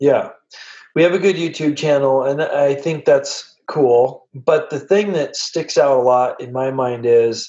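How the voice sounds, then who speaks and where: A man speaks at a fairly slow pace in an unremarkable speaking voice, his fairly high pitch moving with ordinary variation. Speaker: podcast host. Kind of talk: casual chat.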